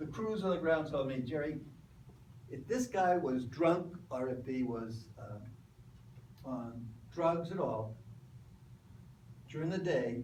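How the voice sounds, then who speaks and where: A man with an American accent, fairly high in pitch with ordinary pitch variation, and audible room echo. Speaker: lecturer, former workplace safety official. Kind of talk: lecture.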